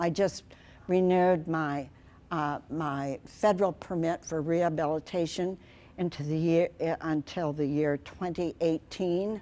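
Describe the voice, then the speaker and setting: Captured in a very clean recording with a silent background, a woman with a Midwestern US accent speaks at a fairly slow pace in a fairly low pitch. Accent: US Midwest. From Iowa, Okoboji area. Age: 80s+. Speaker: wildlife rehabilitator. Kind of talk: public talk. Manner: animated.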